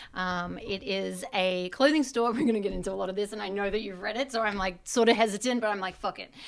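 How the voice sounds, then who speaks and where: At a very fast pace with hardly any pauses, a woman talks in a medium pitch. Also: ordinary pitch variation. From Australia. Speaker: stylist and business owner. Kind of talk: casual chat. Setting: podcast. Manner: many fillers (um, like).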